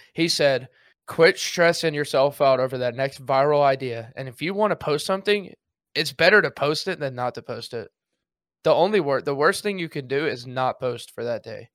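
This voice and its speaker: An ordinary speaking voice from a man, fairly high in pitch with ordinary pitch variation, at a moderate pace on a very clean recording with a silent background. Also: big swings in loudness. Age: 20s. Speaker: Twitch streamer and active duty soldier. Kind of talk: casual chat.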